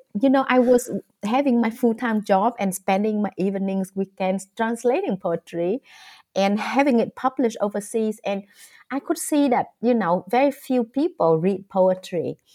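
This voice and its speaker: A woman with a Vietnamese accent speaks at a moderate pace and a fairly high pitch, her dark, mellow tone showing ordinary pitch variation in a dry, close sound with no echo. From rural Vietnam. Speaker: novelist and poet. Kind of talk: interview conversation.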